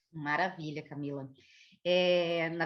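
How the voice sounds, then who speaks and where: A woman speaks with a southern Brazilian accent. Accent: Porto Alegre (gaúcho). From southern Brazil, Porto Alegre. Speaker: geneticist, biologist. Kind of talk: educational conversation.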